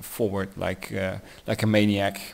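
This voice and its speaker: A man with a Dutch accent talks very slowly in a fairly low voice. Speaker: tabletop wargaming hobbyist. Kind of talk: battle report narration. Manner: halting, many fillers.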